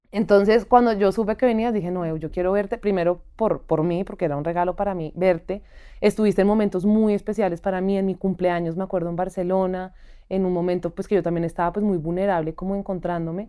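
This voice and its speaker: Speaking very fast, a woman uses a dark, mellow tone at medium pitch with fairly even intonation. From Colombia. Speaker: podcast host. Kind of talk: interview conversation.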